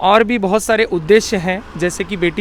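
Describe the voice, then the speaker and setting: Noticeable background noise sits behind a man speaking. His pitch is high and his intonation fairly even. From India, Chhattisgarh (Rajnandgaon). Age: 20s. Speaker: long-distance cyclist and activist. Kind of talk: interview.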